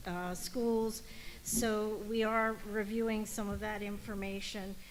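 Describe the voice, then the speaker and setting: Audible room echo carries a woman's fairly high voice as she speaks very slowly in a monotone, flat intonation. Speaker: ALS subcommittee chair. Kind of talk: committee meeting report. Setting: meeting hall. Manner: loud.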